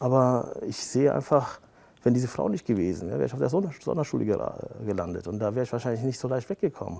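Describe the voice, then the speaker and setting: A man with a medium pitch talks very fast, his voice swinging very widely in pitch. His tone is dark and mellow, with vocal fry. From Germany, Siegerland (rural), child of Turkish immigrants. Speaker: lawyer. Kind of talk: interview. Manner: frequent fillers (äh, ja).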